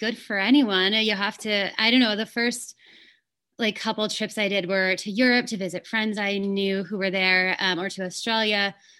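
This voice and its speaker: A woman with an American accent speaks at a moderate pace in a fairly high pitch, her tone bright and sharp. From California, Fresno area. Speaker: woodworker and artist. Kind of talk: interview.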